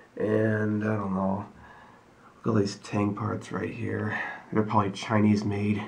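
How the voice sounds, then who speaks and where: Through noticeable background noise, a man speaks in a fairly low, flat monotone, leaving long and frequent pauses. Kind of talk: casual talk to camera.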